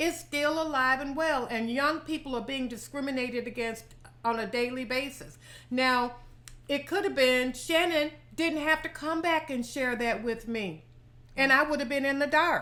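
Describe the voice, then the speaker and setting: A woman's raised, projected voice, high in pitch and bright, sharp in tone, with ordinary pitch variation. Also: moderate pace. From US South. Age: 70s. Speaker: lifestyle vlogger. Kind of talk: casual chat.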